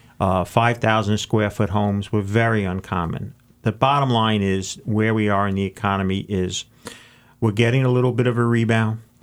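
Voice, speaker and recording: It is a plain, everyday voice. Its intonation is fairly even and its pace moderate. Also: man, fairly low pitch for a man. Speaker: co-host, financial writer and sports ministry worker. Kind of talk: radio co-host chat.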